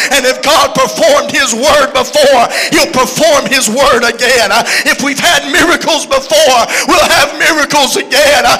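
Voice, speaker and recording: A man with a Southern US accent speaks in a raised, projected voice at an extremely high pitch. His tone is animated, with faint music in the background. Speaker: preacher. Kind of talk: sermon. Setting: church. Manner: animated, preaching with call-and-response energy; conversational and joking. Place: church. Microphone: handheld.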